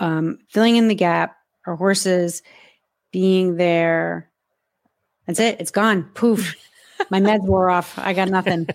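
Recorded very cleanly against a silent background, a woman with an American accent talks at a fairly slow pace, her fairly low voice keeping a fairly even intonation. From US Northeast, near New York. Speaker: horse podcast host, panelist. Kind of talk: casual roundtable discussion.

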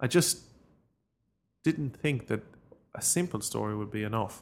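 With an Irish Midlands accent, a man talks at a moderate pace and medium pitch with lively intonation. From Ireland, County Longford. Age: 30s. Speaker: author. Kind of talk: interview.

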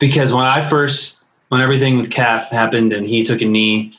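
A man with an American accent speaks in a plain, everyday voice at medium pitch, with ordinary pitch variation. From US Midwest, northwest suburbs of Chicago. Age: 30s. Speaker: worship pastor and musician. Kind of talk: casual conversation. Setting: internet call.

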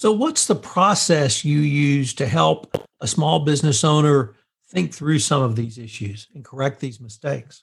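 The speaker sounds somewhat breathy and moves at a fairly slow pace. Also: man, fairly high pitch for a man. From central Texas. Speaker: podcast interviewer. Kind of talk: interview.

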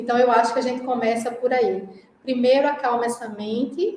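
A woman with a high pitch and a strong Pernambuco accent talks at a moderate pace, with audible room echo and noticeable background noise. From Brazil, Pernambuco (Recife). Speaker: Ayurveda practitioner. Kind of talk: casual interview.

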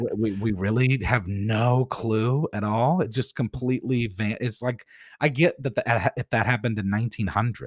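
This man's voice sits at a medium pitch, somewhat breathy, with ordinary pitch variation. The recording is very clean with a silent background and a dry, close sound with no echo. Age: 30s. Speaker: rapper and YouTube video maker. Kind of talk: casual interview chat. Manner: fast talker.

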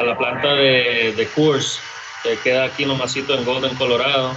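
A man at a medium pitch is heard over noticeable background noise. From Costa Rica, San José; US from age 12. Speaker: brewery co-founder. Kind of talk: casual interview chat.

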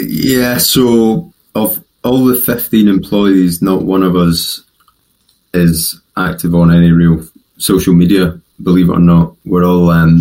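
A man's very slow, very deep and low voice in a West Coast Scottish accent, dark and mellow, with very even loudness and ordinary pitch variation. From West of Scotland. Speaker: podcast guest, company CEO.

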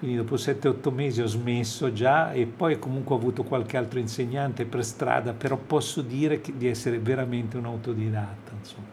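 This is a man with an ordinary speaking voice at a medium pitch. He goes at a fairly quick pace with hardly any pauses and fairly even intonation. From Italy (Livorno, Tuscany, until age ten). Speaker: jazz saxophonist. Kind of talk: radio interview.

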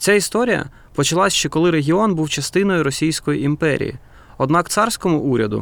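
A man with a plain, everyday voice speaks at a fairly quick pace and a fairly high pitch. His intonation is lively, and the recording is very clean with a silent background. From Ukraine, Donetsk. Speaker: film director, podcast co-host. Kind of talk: scripted narration.

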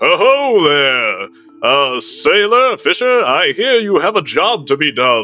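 A man's put-on character voice, raised and projected, high in pitch, at a fairly slow pace. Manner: hearty, jovial.

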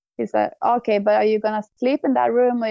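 A woman with a Swedish accent at a fairly quick pace. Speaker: cyclist and snowboarder. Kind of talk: casual chat.

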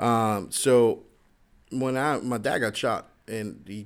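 Fairly flat intonation in a plain, everyday voice. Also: man. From Florida (moved from Queens, New York at nine). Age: 30s. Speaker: podcast host, retired firefighter-paramedic. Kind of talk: casual chat.

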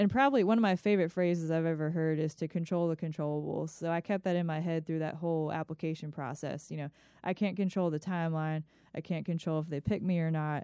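A woman with an American accent speaks at a very fast pace, with a fairly low pitch, a dark, mellow tone, and fairly even intonation, in a dry, close sound with no echo on a very clean recording with a silent background. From Maryland, Howard County near Baltimore. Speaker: firefighter and paramedic student. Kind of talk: interview conversation.

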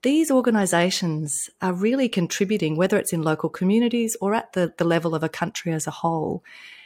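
Recorded very cleanly with a silent background, a woman with an Australian accent talks at a fairly quick pace with lively intonation. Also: dry, close sound with no echo. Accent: Australian, noticeable. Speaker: entrepreneur, impact investor and coach. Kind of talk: interview, business conversation.

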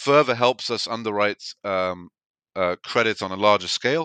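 At a fairly quick pace, a man talks in a fairly low pitch and a bright, sharp tone, with ordinary pitch variation. The sound is dry and close with no echo, and the background is quiet. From England, rural UK. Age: 30s. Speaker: investment firm CEO. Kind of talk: interview conversation. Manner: halting, frequent repetitions and fillers.

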